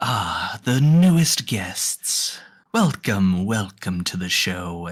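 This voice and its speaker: In a put-on character voice, a man speaks very slowly at a fairly low pitch, his pitch swinging very widely. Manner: welcoming, showman-like.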